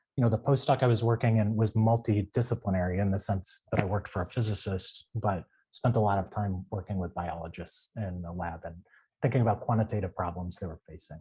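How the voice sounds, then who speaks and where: Over a silent background in a very clean recording, a man talks at a very fast pace in a fairly low, somewhat breathy voice with a dark, mellow tone and ordinary pitch variation. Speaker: data scientist with physics PhD. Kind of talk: panel talk on careers. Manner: halting, many fillers; unprepared, off the cuff.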